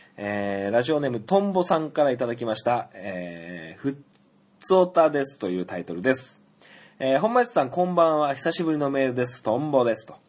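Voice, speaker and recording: A man's medium-pitched voice at a fairly quick pace, with very wide pitch swings and big shifts in loudness, over a quiet background. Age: 30s. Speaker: podcast host. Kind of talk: solo casual talk. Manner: frequent filler hesitations.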